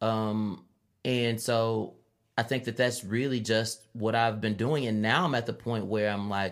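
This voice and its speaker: A man with a plain, everyday voice, an American accent and a medium pitch, at a fairly slow pace. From Chicago, west side. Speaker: rapper and librarian. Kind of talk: interview.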